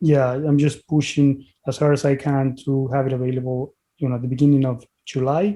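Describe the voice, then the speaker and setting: With a strong Mexican accent, a man speaks at a fairly quick pace in a dark, mellow tone, fairly high in pitch, with monotone, flat intonation. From Mexico (Puebla, Mexico City). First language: Spanish. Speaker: physician and author. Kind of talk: interview podcast.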